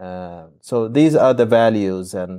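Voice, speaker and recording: A man speaks very slowly with an Arabic accent, his medium-pitched voice dark and mellow in a dry, close recording with no echo. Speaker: podcast host, academic. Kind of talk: discussion. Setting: video call. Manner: hesitant, many fillers.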